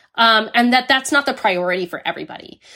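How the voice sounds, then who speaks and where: Using a raised, projected voice, a woman with an American accent talks at a very fast pace with very wide pitch swings and a bright, sharp tone. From United States. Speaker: history professor. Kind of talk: interview.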